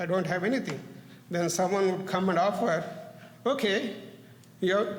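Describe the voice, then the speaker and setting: A man with a non-native accent talks at a moderate pace, high in pitch, with fairly even intonation. Audible room echo and noticeable background noise surround him. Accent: foreign. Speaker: parent giving public comment. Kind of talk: public comment at board meeting. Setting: public meeting, at podium. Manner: halting, with self-corrections.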